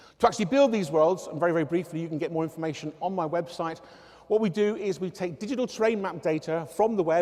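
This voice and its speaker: A man speaks very fast in a southwest English accent. His voice is high-pitched with ordinary pitch variation, over noticeable background noise. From southwest England, Devon area. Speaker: researcher and engineering academic. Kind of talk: public talk. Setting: stage with audience.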